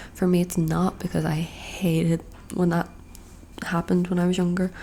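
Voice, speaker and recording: Soft-spoken and medium in pitch, a woman talks at a moderate pace over noticeable background noise. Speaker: ASMR creator. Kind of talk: casual talk to camera, get-ready-with-me video. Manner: soft-spoken, rambling.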